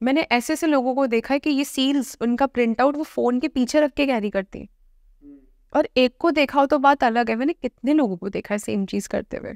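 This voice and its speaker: A high-pitched woman at a moderate pace with ordinary pitch variation, dry with no echo, over a quiet background. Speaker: dentist and occult practitioner; guest. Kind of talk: interview. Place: studio. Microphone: lapel.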